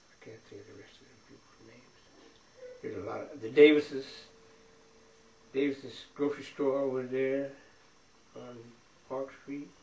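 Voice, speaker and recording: A man with an American accent speaks at a fairly high pitch in a flat monotone, at a moderate pace with long, frequent pauses and big swings in loudness, amid audible room echo and noticeable background noise. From US Midwest, Champaign, Illinois. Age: 80s+. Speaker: retired factory worker. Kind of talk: oral history interview. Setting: at home.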